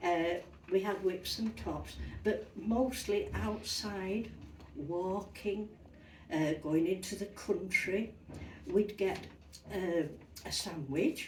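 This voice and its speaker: A very slow Yorkshire accent with long, frequent pauses, ordinary pitch variation and audible room echo. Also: woman. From Yorkshire, northern England. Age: 80s+. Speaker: retired interviewee recalling childhood. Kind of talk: interview, personal recollection.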